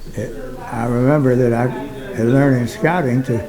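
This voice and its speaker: A man speaks at a medium pitch. Noticeable background noise and audible room echo accompany his voice. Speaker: retired doctor and war veteran. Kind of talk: personal testimony. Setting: recording booth at a museum. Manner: halting, frequent fillers.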